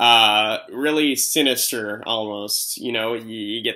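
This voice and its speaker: Speaking at a very slow pace, a man uses a bright, sharp tone and fairly even intonation. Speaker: movie reviewer. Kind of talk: unscripted video review.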